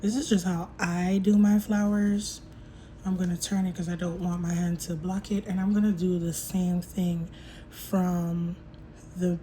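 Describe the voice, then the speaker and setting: A woman's somewhat breathy, medium-pitched voice with a dark, mellow tone, fairly even intonation and a fairly slow pace. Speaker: nail technician. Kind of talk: tutorial.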